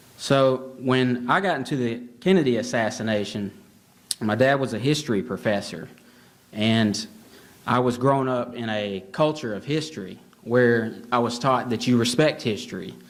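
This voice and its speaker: In a Southern US accent, a man speaks at a medium pitch with ordinary pitch variation. The room echo is audible. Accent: Southern US drawl. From Alabama. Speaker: author and history researcher. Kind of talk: conference talk. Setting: stage with audience. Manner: hesitant, many fillers.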